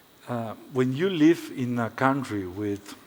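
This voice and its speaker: A man talks at a very slow pace. His pitch sits in the medium range, with ordinary variation. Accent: non-native. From Paraguay. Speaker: architect. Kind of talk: lecture. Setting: stage with audience. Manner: halting.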